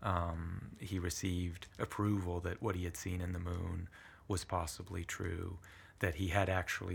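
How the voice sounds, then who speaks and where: Recorded very cleanly against a silent background, a man with a very deep, low pitch and a somewhat breathy voice speaks at a moderate pace with monotone, flat intonation. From southern Italy (Puglia), moved to US at eight. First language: Italian. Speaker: history professor. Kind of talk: interview conversation. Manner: thoughtful, hesitant with fillers.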